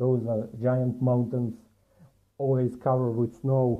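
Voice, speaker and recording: A man's medium-pitched voice in a Montenegrin accent, fairly even in intonation and fairly slow in pace. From Montenegro. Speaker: commentator. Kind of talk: video commentary.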